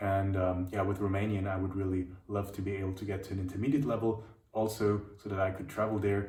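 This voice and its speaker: Over noticeable background noise and audible room echo, a man with a German accent speaks at a very fast pace in a fairly low, monotone, flat voice. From Germany, Munich. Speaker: language teacher. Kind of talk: video monologue answering questions. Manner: halting, many fillers and repeats.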